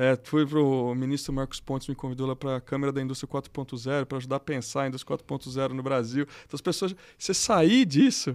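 A man with a normal speaking voice at medium pitch talks at a fairly quick pace in a very clean recording with a silent background. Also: fairly even intonation. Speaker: electrical engineer and executive. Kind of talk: casual interview.

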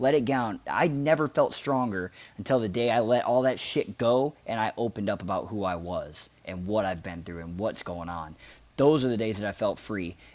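A man's normal speaking voice at medium pitch, lively in intonation and moderate in pace. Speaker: friend and fellow MMA fan. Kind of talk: casual chat.

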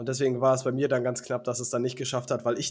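This man speaks at a medium pitch. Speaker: fantasy football podcast host. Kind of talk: casual chat. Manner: stammering.

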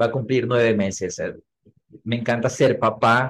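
The man speaks at a medium pitch in a flat, monotone delivery. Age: 40s. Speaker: marketing trainer and speaker. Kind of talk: interview.

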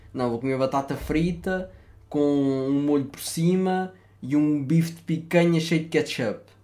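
A dark, mellow tone comes at a fairly slow pace with fairly even intonation. The loudness swings a lot. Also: man. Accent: European Portuguese. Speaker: podcast host. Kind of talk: casual chat.

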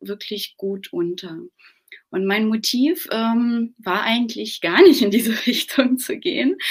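A woman speaks with lively intonation, a fairly high pitch and a somewhat breathy quality. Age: 30s. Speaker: business owner and mother. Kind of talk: interview.

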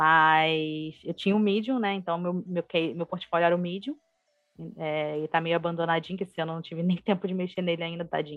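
A woman in a normal speaking voice talks at a fairly quick pace, with a fairly low pitch and fairly even intonation. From Brazil, Rio de Janeiro. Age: 20s. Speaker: UX designer. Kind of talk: casual interview.

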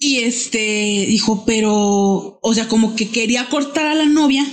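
Speaking in a plain, everyday voice, a woman uses a fairly high pitch and ordinary pitch variation. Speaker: podcast guest. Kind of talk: casual chat.

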